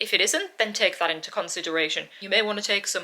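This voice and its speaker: This woman has a medium-pitched voice and speaks with a British accent. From UK. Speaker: travel vlogger. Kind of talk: tutorial.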